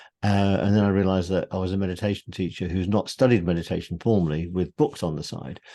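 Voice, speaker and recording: A dark, mellow tone comes through at a very fast pace in a British accent, over a quiet background. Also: man. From UK. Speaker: meditation teacher and author. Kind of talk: interview conversation.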